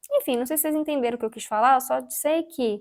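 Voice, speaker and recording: This woman's voice sits high and shows ordinary pitch variation. The recording is very clean, the background silent. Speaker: craft youtuber. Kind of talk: casual painting tutorial chat.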